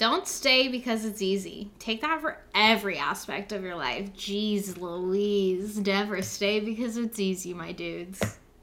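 Speaking at a fairly slow pace with hardly any pauses, a woman talks at a medium pitch. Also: ordinary pitch variation. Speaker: podcast co-host and business coach. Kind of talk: casual chat and interview. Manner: animated.

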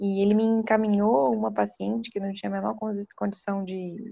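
Marked by lively intonation, a woman with a medium pitch speaks in an ordinary speaking voice. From Espírito Santo, Brazil (Vitória). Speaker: clinical psychologist. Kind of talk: interview talk.

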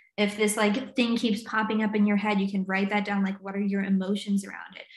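A woman with an American accent, somewhat breathy, at a medium pitch and a fairly quick pace, with monotone, flat intonation. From US South, North Carolina and Virginia. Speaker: trauma and recovery coach. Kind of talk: casual interview chat.

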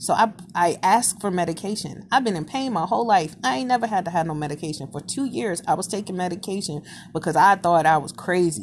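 Over a very clean recording with a silent background, a woman talks fairly quickly at a medium pitch with lively intonation. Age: 30s. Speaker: podcaster. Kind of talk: casual monologue. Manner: halting.

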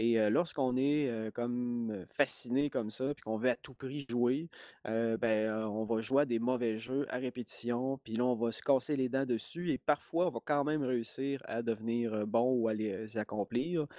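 A man's medium-pitched voice with a dark, mellow tone, fairly even intonation and a fairly slow pace, in a dry, close sound with no echo over a quiet background. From Quebec, Lac-Saint-Jean region. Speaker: game design lecturer. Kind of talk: interview.

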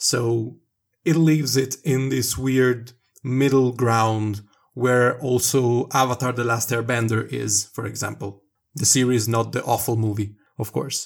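A man's medium-pitched voice at a fairly slow pace with fairly even intonation. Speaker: podcast host. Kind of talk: casual chat. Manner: hesitant, filler-heavy, joking.

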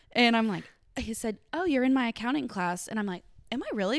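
A woman's fairly high voice with a Kentucky accent on a very clean recording with a silent background. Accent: Kentucky Southern US. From Western Kentucky, Paducah. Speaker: podcast guest, former accountant. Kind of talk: casual chat.

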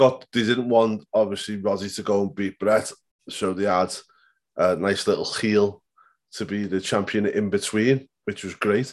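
A plain, everyday voice talks at a moderate pace. Its intonation is fairly even, and the recording is very clean with a silent background. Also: man, fairly low pitch for a man. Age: 30s. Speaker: wrestling podcast host. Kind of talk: casual chat. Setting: home bedroom.

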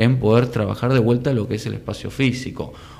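A man speaks in a Rioplatense accent. His pace is fairly quick and his intonation fairly even. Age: 30s. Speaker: community library manager and former city councillor. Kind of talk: radio interview.

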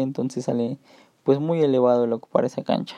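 The man's medium-pitched voice carries a dark, mellow tone in a dry, close sound with no echo. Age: 20s. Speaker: sports coach. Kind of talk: solo podcast talk. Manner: halting.

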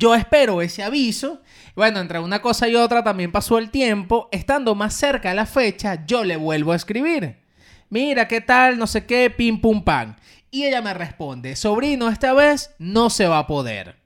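A man's high-pitched voice at a moderate pace, in a very clean recording with a silent background. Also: lively intonation. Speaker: podcast co-host. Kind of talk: casual chat.

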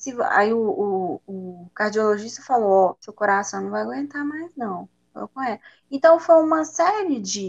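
A woman with a fairly high pitch swings very widely in pitch and loudness varies in big swings, recorded with a dry, close sound and no echo. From Belo Horizonte, Minas Gerais, Brazil. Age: 20s. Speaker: dental student. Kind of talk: casual interview.

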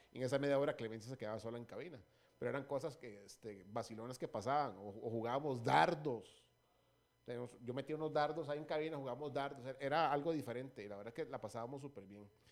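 A man talks at a very fast pace, his voice medium in pitch with ordinary pitch variation. His loudness swings widely from moment to moment. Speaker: radio DJ and former record label promoter. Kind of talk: casual interview chat.

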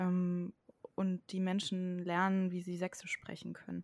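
A woman talks at a fairly slow pace. The recording is very clean and dry, close with no echo and a silent background. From western Germany near the Dutch border. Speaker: podcast co-host. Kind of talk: casual discussion.

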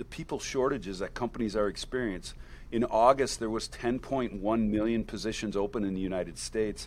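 In a very clean recording with a silent background, a man with a plain, everyday voice talks at a moderate pace and medium pitch, with ordinary pitch variation. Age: 50s. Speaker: company CEO and founder, co-host. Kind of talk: casual business podcast discussion.

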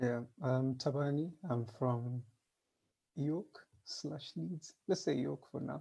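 Her voice is very deep and low for a woman, with lively intonation. She speaks at a very slow pace. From Zimbabwe. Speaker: panelist.

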